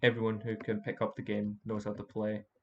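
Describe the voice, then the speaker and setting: Against a quiet background, a man speaks at a fairly low pitch. His intonation is monotone and flat. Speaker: game design student. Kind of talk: game walkthrough commentary. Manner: hesitant, stuttering, many fillers.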